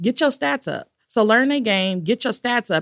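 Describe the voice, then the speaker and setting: A woman in a normal speaking voice with an American accent, lively intonation and a moderate pace. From Los Angeles, California. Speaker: education consultant, former principal. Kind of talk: interview conversation.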